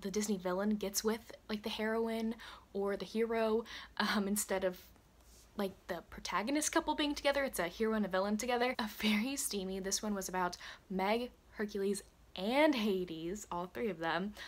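Talking at a moderate pace, a woman uses ordinary pitch variation. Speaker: book vlogger. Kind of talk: casual vlog chat. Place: home room. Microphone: phone near.

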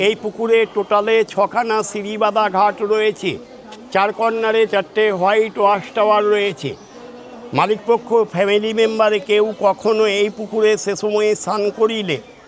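A man's high-pitched, theatrical voice with monotone, flat intonation, very even loudness, and noticeable background noise. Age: old. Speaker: tour guide. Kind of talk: guided tour commentary. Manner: theatrical, jatra-like delivery.

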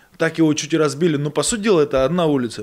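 A man's voice shows ordinary pitch variation against a quiet background. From Buryatia, Russia (born in Georgia). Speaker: boxer; guest. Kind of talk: casual chat. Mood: relaxed storytelling. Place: studio. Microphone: studio mic.

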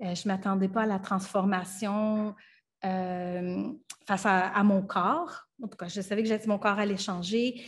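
A somewhat breathy voice with a Franco-Ontarian accent, fairly even intonation and a fairly slow pace, against a quiet background. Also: woman, medium pitch for a woman. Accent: Franco-Ontarian Canadian French. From Ottawa, Ontario (Franco-Ontarian, Acadian parents). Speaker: filmmaker and actress; actress. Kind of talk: radio interview. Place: home room. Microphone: webcam.

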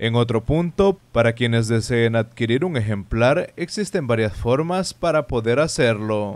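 A normal speaking voice from a man, medium in pitch, at a fairly slow pace with hardly any pauses, lively intonation and very even loudness. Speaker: news reporter. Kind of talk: news reporting.

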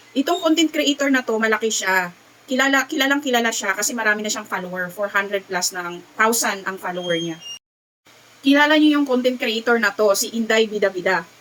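Using a normal speaking voice, a woman with a fairly high pitch talks at a fairly quick pace with lively intonation. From Visayas, Philippines. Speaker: vlogger. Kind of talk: casual vlog talk.

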